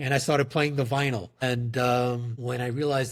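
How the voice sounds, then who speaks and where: Somewhat breathy and with a New York accent, the voice moves at a fairly quick pace on a very clean recording with a silent background. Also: man. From New York, the Bronx. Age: 40s. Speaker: company CEO. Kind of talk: podcast interview.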